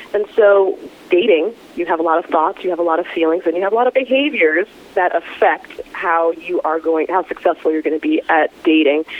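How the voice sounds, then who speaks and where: Over noticeable background noise, the speaker moves at a fairly quick pace with ordinary pitch variation. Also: woman. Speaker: psychotherapist. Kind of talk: interview.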